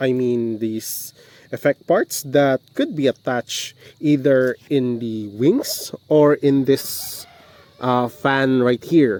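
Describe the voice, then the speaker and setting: Speaking with a Visayan accent at medium pitch, a man goes at a very slow pace. His intonation is fairly even, and the sound is dry and close with no echo. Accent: Bisaya (Filipino). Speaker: model kit reviewer. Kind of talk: casual review talk to camera. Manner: hesitant, many fillers.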